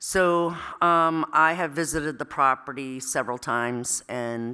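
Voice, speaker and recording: A woman speaks very slowly with a very deep, low pitch and a bright, sharp tone, using ordinary pitch variation. The recording is very clean with a silent background. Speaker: town chief assessor. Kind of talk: public meeting presentation. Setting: town hall meeting room. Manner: loud; hesitant, many fillers.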